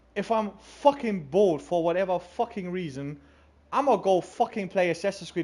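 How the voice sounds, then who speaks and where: Someone with a German accent talks at a moderate pace. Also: man. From Germany. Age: 20s. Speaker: gaming streamer. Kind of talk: casual chat. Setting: livestream. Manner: halting.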